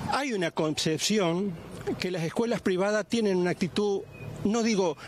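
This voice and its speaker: A man's high voice with lively intonation and a fairly slow pace, dry with no echo, over light background noise. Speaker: grandfather of alleged abuse victim. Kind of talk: news interview answer. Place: street. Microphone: handheld.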